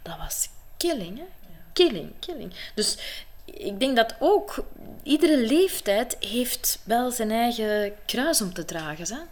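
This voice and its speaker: Very wide pitch swings run through this very slow delivery. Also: woman, high pitch for a woman, big swings in loudness. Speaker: actress and coach. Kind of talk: interview. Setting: at her home.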